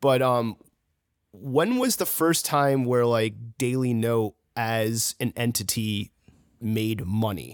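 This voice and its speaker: Speaking very slowly with long, frequent pauses, a man keeps a medium pitch and ordinary pitch variation. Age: 30s. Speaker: podcast host. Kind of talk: casual chat.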